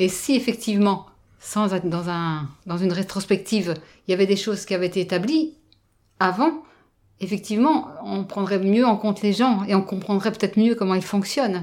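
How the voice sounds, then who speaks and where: A woman speaks at medium pitch and a moderate pace with ordinary pitch variation. The recording is very clean, with a silent background. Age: 50s. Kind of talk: interview. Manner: halting.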